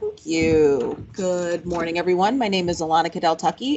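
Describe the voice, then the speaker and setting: A woman talks very fast at a fairly low pitch with ordinary pitch variation. Noticeable background noise is present. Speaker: government official. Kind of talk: presentation. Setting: workshop with audience. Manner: loud. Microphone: no microphone.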